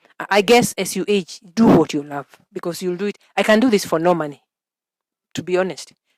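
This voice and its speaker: Her voice at a medium pitch with lively intonation, a woman is recorded with a dry, close sound and no echo. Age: 60s. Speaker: early childhood educator. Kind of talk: interview. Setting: outdoors. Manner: halting.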